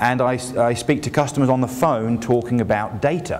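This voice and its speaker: With a British accent and medium pitch, a man talks at a moderate pace with ordinary pitch variation, amid noticeable background noise and audible room echo. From England. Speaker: industry analyst. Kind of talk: conference keynote. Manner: casual and joking.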